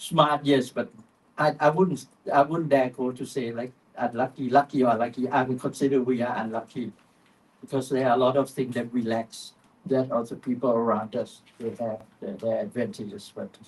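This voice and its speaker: The speaker is a man with a Thai accent. His pitch sits in the medium range. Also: ordinary pitch variation, moderate pace. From Thailand. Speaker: panel speaker, vaping advocate. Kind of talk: panel discussion. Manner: halting, many fillers.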